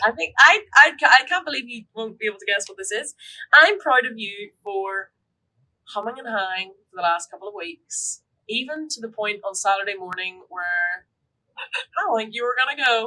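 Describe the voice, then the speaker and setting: A woman with a Northern Irish accent, a bright, sharp tone, fairly high pitch, lively intonation, big swings in loudness and a moderate pace. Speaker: podcast co-host. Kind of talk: casual chat. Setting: live stream.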